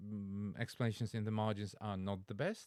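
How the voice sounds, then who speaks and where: Heard in a very clean recording with a silent background, a man with a Polish accent speaks at a moderate pace with a fairly low pitch. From Poland. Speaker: language teacher and Latin learner. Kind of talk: reaction video commentary. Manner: halting, with fillers and self-corrections.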